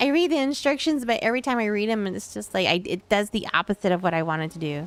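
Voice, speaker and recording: A woman mumbles at a very fast pace. Her medium pitch swings very widely. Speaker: video game streamer. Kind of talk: casual chat. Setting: live stream. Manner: mumbling; halting.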